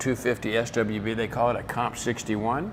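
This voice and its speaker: Background noise is noticeable. A man speaks at a moderate pace and medium pitch. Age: 80s+. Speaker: car collector. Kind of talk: casual chat.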